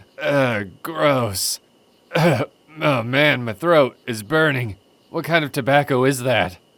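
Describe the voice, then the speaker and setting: Putting on a character voice, a man speaks at a fairly slow pace with medium pitch. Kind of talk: fan comic dub.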